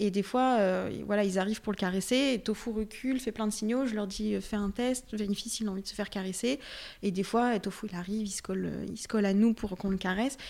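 In an ordinary speaking voice, a woman talks at a fairly quick pace with a medium pitch and fairly even intonation on a very clean recording with a silent background. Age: 20s. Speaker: dog training enthusiast. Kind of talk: casual chat.

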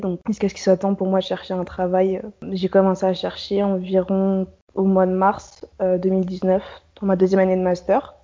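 A woman's voice at medium pitch and moderate pace. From Paris region, France. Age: 20s. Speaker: young professional abroad, blogger. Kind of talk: interview.

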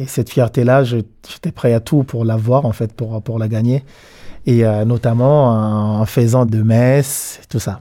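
Very slow speech from a man at medium pitch, dark and mellow in tone, with fairly even intonation on a very clean recording with a silent background. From DR Congo, Kisangani. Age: 30s. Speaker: dancer and choreographer. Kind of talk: interview storytelling. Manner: halting.

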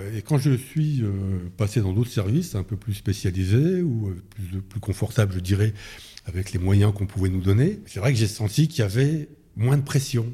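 In a very clean recording with a silent background, a man speaks at a fairly low pitch and a moderate pace. His dark, mellow tone is somewhat breathy, with lively intonation. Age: 60s. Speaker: retired police officer. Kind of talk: interview. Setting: in Paris near the Interior Ministry. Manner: hesitant with fillers.

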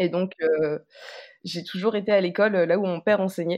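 A woman at a medium pitch, speaking at a moderate pace with fairly even intonation against a quiet background. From Martinique. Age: 20s. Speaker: interviewee, former law student. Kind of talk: personal testimony.

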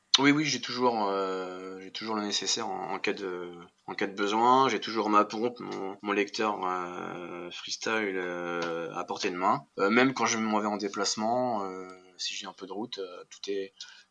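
A man speaks at a fairly slow pace and a fairly low pitch. His intonation is fairly even. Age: 30s. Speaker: cabinetmaker and interior decorator, entrepreneur. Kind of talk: interview. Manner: hesitant, many fillers and repetitions.

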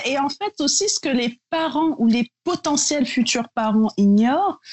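A woman's lively intonation at a fairly slow pace. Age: 30s. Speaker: beauty brand founder. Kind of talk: casual interview.

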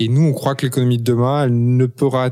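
A man talks at a moderate pace. The background is silent and the recording very clean. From Paris, France. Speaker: entrepreneur and author. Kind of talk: interview. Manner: hesitant, many fillers and repetitions.

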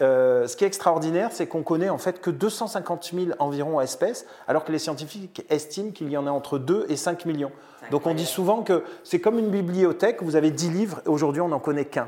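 A man speaks at a fairly quick pace in a high voice. His pitch moves in an ordinary way. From Marseille, southern France. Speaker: business executive and NGO founder. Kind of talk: interview. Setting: outdoors by a vegetable garden. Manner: halting, with repetitions.

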